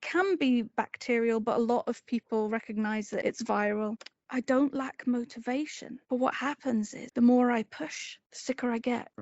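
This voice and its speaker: Hardly any pauses break this speech in a Scottish accent, which has fairly even intonation but big swings in loudness. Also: woman, high pitch for a woman, moderate pace. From Edinburgh, Scotland. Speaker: person living with ME/CFS, interview guest. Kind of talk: interview answer, personal health story.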